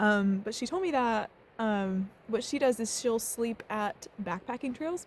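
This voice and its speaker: It's a woman who speaks. Her voice carries some breathiness. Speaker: travel vlogger. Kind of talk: vlog narration. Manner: casual, lots of fillers.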